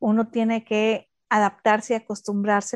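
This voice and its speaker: At a medium pitch and moderate pace, a woman talks with a dry, close sound with no echo over a quiet background. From Mexico. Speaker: architect and podcast co-host. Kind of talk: casual chat.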